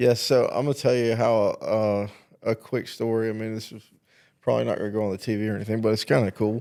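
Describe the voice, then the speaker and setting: In a very clean recording with a silent background, a man speaks with a Southern US accent. His dark, mellow voice runs very fast in a monotone, flat intonation. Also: medium pitch for a man. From South Carolina. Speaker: talk show host. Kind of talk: casual chat.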